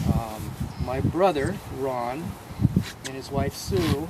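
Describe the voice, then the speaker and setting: An American accent with lively intonation, noticeable background noise and audible room echo. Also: man. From Bainbridge Island, Washington, US. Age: 60s. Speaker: farm tour guide. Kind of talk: guided tour talk.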